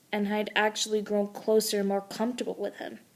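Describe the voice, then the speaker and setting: The speaker is a woman. She talks with a fairly high pitch. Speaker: amateur storyteller. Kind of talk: reading aloud. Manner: halting, stumbling over words.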